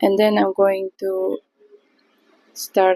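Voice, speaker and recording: A woman with a non-native accent speaks at a very slow pace. The sound is dry and close, with no echo. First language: not English. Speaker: watercolour artist. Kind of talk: tutorial. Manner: halting.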